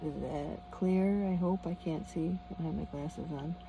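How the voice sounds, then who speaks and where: Quietly and at a moderate pace, a woman talks with an American accent. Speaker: van camping vlogger. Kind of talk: casual vlog. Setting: inside a van at a campground at night. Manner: quiet, low volume.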